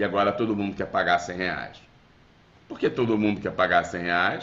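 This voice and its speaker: In a room with audible echo, a man with a Rio de Janeiro accent talks at a moderate pace, his pitch fairly low and his intonation fairly even. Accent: carioca. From Rio de Janeiro, Brazil. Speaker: business lecturer. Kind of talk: webinar lecture. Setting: video call. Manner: conversational, with fillers.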